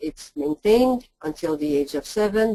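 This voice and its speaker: Speaking at a fairly slow pace in a Quebec accent, a woman swings her pitch very widely. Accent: French-Canadian accent in English. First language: French. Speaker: linguist. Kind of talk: lecture. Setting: webinar.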